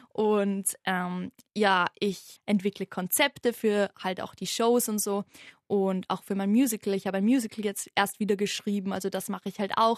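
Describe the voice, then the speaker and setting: Against a quiet background, a woman talks at a medium pitch. Her intonation is monotone and flat. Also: moderate pace. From Austria, Vienna. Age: 20s. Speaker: youth musical company founder. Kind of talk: interview.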